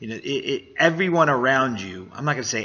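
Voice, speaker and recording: A man talks at a very fast pace while noticeable background noise carries on behind him. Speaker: business coach and vlogger. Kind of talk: motivational monologue. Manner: halting.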